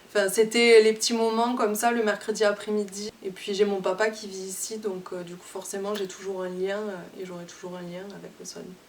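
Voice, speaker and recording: Monotone, flat intonation at a moderate pace, with hardly any pauses, big swings in loudness and noticeable background noise. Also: woman, medium pitch for a woman. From southern France, near Toulouse. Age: 20s. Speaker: singer-songwriter. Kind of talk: interview. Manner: hesitant, many fillers.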